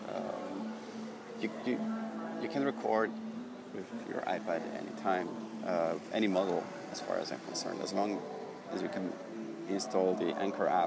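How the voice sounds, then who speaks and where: Noticeable background noise accompanies a man. He speaks at a moderate pace. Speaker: podcaster. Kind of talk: casual solo podcast monologue. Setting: outdoors at a train station. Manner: rambling, halting, with many fillers.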